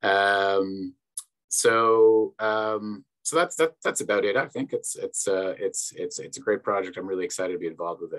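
A man with a Canadian accent speaks at a moderate pace against a quiet background. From Canada. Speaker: project manager, academic librarian. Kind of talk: conference presentation. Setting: video call. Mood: enthusiastic. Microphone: video call.

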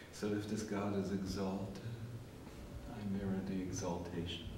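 A man at a fairly slow pace, with audible room echo and noticeable background noise. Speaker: spiritual teacher. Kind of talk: lecture. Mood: warm, contemplative. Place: empty room. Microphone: old recording.

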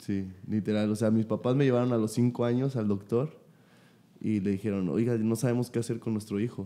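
A man with a dark, mellow tone speaks at a fairly quick pace, his intonation fairly even and his loudness very even. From Mexico City. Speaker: podcast host, professional footballer; podcast host. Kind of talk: casual chat. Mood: relaxed, friendly. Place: studio. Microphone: studio mic.

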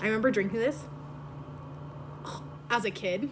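With noticeable background noise behind her, a woman speaks with lively intonation. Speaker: vlogger. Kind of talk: casual vlog chat. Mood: playful, joking. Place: home room. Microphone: phone near.

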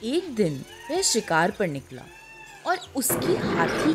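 With music in the background, a woman's voice moves through very wide pitch swings. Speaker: voice-over artist. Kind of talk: children's moral story narration.

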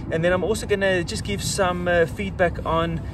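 The sound is dry with no echo, and there is noticeable background noise. A man speaks at a moderate pace. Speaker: motorcycle vlogger. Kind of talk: casual vlog chat. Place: street.

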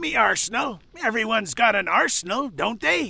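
Using a cartoonish character voice, a man speaks at a moderate pace with a high pitch.

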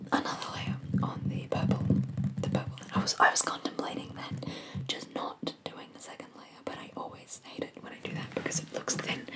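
The speaker is whispering and soft-spoken at a fairly quick pace. Loud background noise fills the recording. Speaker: nail painting vlogger. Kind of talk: casual vlog chat. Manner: soft close whisper. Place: home room. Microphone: earbuds.

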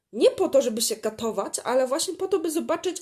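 A woman's voice with very wide pitch swings. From Poland. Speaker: podcaster. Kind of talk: personal monologue. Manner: halting.

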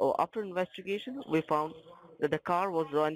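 A man speaks in an Indian accent at a moderate pace with ordinary pitch variation. The sound is dry and close, with no echo. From Northeast India. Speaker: phone scammer. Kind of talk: scam phone call.

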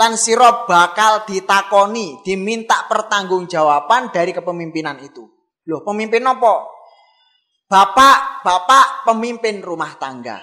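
A man uses a raised, projected voice at a fairly slow pace, with ordinary pitch variation. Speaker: Islamic preacher. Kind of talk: sermon.

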